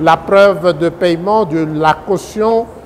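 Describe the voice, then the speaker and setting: A man speaks at a very slow pace in a high pitch with ordinary pitch variation. Background noise is noticeable. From DR Congo. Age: 70s. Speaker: presidential candidate and law professor. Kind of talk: political statement to the public.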